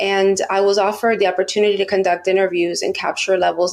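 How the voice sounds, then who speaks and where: In an American accent, a woman speaks at medium pitch with monotone, flat intonation. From Miami, Florida (US). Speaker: research psychologist. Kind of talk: podcast interview.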